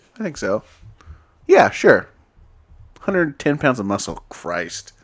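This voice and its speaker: A man's fairly high voice with vocal fry, very wide pitch swings and a fairly slow pace. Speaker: podcast co-host. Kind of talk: casual chat.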